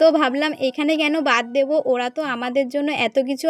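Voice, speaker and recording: Dry and close with no echo, the recording captures a woman speaking at a high pitch. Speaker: vlogger. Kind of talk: casual vlog narration. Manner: animated.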